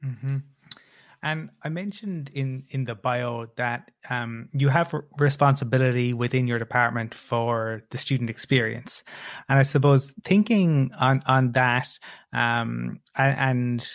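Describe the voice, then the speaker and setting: A man speaks at a medium pitch with ordinary pitch variation and a fairly slow pace, in a plain, everyday voice. The recording is very clean, with a silent background. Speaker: podcast co-host. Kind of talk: interview.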